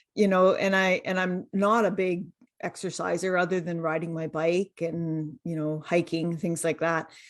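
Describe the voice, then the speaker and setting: Monotone, flat intonation over a quiet background. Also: woman, fairly low pitch for a woman, moderate pace. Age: 60s. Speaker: dietitian and health coach. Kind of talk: interview testimony. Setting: podcast interview.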